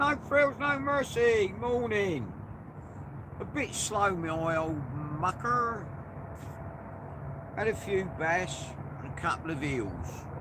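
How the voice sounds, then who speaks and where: Amid noticeable background noise and audible room echo, a man with a high pitch speaks in a raised, projected voice at a very slow pace, with very wide pitch swings and long, frequent pauses. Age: 60s. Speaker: angler live-streaming from a boat. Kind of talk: casual live-stream chat. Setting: outdoors on a boat.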